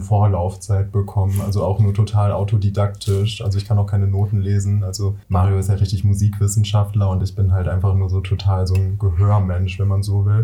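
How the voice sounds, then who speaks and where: Against noticeable background noise, a man with a fairly low pitch talks in a flat monotone with hardly any pauses. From Ruhr area, Germany. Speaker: singer-songwriter. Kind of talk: casual chat.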